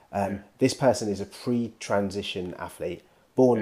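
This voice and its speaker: A man speaks at a fairly quick pace with a British accent, his fairly low voice dark and mellow in tone. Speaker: podcast co-host. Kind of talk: casual banter. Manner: laid back.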